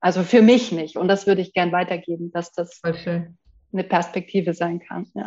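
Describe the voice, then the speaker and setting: With a dark, mellow tone, a woman speaks at a fairly low pitch and moderate pace, with fairly even intonation and hardly any pauses. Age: 40s. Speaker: entrepreneur, program client. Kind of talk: testimonial interview.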